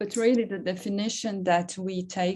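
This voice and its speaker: A woman speaks at a moderate pace with a dark, mellow tone, a medium pitch and ordinary pitch variation. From Serbia. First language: Serbian. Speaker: academic, seminar moderator. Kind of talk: seminar Q&A discussion.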